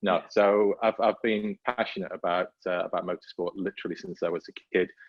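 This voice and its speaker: A man with a slight Welsh accent. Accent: faint Welsh, barely noticeable. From North Wales. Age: 50s. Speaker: motorsport safety manager. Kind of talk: podcast interview. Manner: hesitant, many fillers and repeats.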